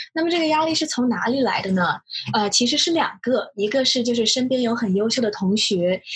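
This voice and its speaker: A woman talks with a high pitch and lively intonation at a fairly quick pace. Her loudness stays very even. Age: 20s. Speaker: new management consultant. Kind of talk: casual chat.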